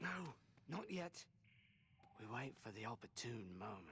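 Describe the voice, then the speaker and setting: A man does a put-on character voice at medium pitch and a moderate pace, with clear background noise behind him. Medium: video game. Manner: sly.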